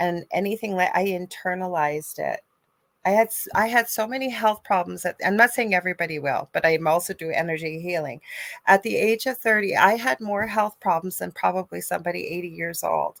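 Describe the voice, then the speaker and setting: Recorded very cleanly with a silent background and a dry, close sound with no echo, a woman with a Canadian accent uses a normal speaking voice at medium pitch with ordinary pitch variation. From Canada. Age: 50s. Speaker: spiritual medium and energy healer. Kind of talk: casual chat.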